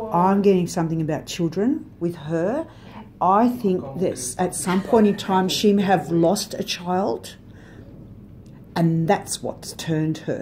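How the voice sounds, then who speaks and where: A somewhat breathy woman at a fairly slow pace, with ordinary pitch variation and light background noise. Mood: calm, reflective. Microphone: phone near.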